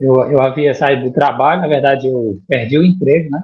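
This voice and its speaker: The man's voice is fairly high-pitched and somewhat breathy. His intonation stays fairly even. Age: 50s. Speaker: 3D printing student, former bank IT worker. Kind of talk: interview. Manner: halting, with repetitions.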